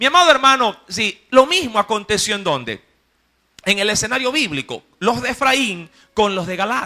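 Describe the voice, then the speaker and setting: With a bright, sharp, animated tone, a man uses a raised, projected, high-pitched voice at a moderate pace with very wide pitch swings. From Ecuador, coast (Guayaquil). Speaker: preacher. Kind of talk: sermon. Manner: animated storytelling.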